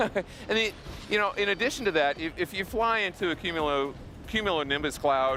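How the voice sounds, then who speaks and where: A man talks fairly quickly and with lively intonation as music plays behind him. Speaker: game developer representative. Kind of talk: interview. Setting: live show at gaming expo. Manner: loud; halting. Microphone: mic too quiet, replaced.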